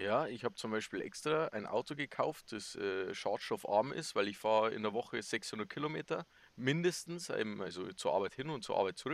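A man with a Bavarian accent at a moderate pace, dry and close with no echo. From Bavaria, Chiemsee area. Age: 20s. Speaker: podcast co-host, soldier. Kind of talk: casual chat.

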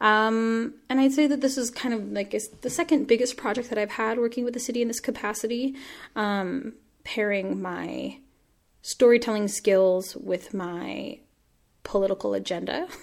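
A woman with an American accent, an unremarkable speaking voice, talks at a moderate pace with a fairly high pitch and ordinary pitch variation. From Washington State, US. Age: 20s. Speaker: playwright and arts activist. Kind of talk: interview conversation.

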